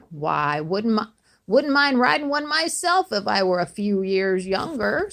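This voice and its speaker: A woman uses a put-on character voice with very wide pitch swings. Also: medium pitch for a woman, moderate pace. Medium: read story.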